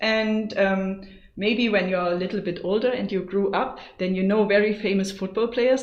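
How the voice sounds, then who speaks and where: Against noticeable background noise and audible room echo, a woman with a German accent speaks at a medium pitch and moderate pace with fairly even intonation. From Germany. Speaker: go teacher. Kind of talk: tutorial. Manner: casual, lots of fillers.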